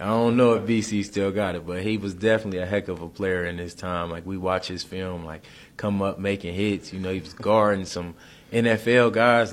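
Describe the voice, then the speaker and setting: Talking at a fairly quick pace with an American accent, a man has an unremarkable speaking voice and ordinary pitch variation. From Detroit, Michigan. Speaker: college football player. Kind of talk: interview.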